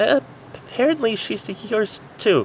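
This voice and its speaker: A put-on character voice in a fairly high pitch moves at a fairly slow pace over clear background noise. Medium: read story. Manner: excitable, squealy.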